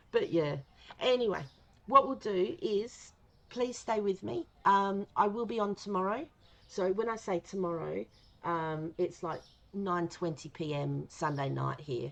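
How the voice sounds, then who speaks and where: With an Australian accent, a woman at a medium pitch talks at a fairly slow pace with lively intonation and long, frequent pauses. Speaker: gaming streamer. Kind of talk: casual live stream chat. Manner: casual, rambling with fillers.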